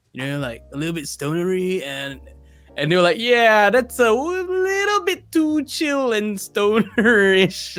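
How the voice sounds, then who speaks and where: A man with very wide pitch swings at a fairly slow pace, music in the background. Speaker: voice actor. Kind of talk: interview answer.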